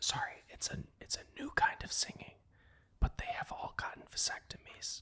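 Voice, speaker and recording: A man whispering at a moderate pace. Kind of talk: podcast interview host. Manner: whispered.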